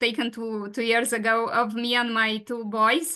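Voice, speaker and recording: A woman with a Romanian accent speaks at a moderate pace and a fairly high pitch. Her tone is bright and sharp, and the background is quiet. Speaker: patient advocate and webinar moderator. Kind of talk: webinar presentation. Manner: halting, many fillers.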